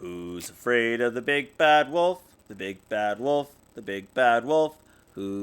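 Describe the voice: Plain reading aloud with lively intonation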